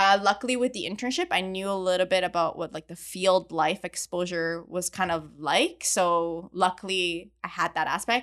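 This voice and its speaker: With a normal speaking voice, a woman talks at a moderate pace and medium pitch, her intonation fairly even and hardly any pauses, on a very clean recording with a silent background. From Montreal, Canada. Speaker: chemical engineer and oil industry podcaster. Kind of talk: casual interview chat.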